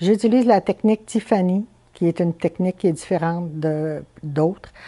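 A woman's dark, mellow tone against a quiet background. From Quebec, Chibougamau; Quebec. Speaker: stained-glass artisan. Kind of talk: interview. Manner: hesitant, many fillers. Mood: calm, thoughtful. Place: home room. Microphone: lapel.

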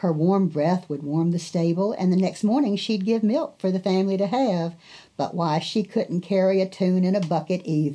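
A natural voice reading aloud

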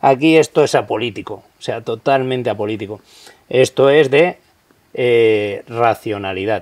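Fairly slow speech with ordinary pitch variation and big swings in loudness, set against a quiet background. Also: man. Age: 40s. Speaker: police officer; interview guest. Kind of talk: interview. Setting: outdoors. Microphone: studio mic.

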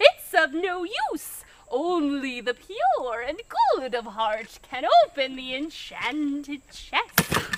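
A woman with a high pitch speaks at a very slow pace. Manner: melodramatic, pleading then vengeful.

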